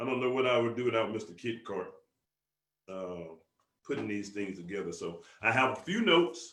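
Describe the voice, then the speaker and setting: In a Southern US accent, the speaker sounds animated, with lively intonation, long and frequent pauses, and audible room echo. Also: man, medium pitch for a man. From US South. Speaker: business motivational speaker. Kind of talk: motivational conference call talk. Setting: conference call. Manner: fast.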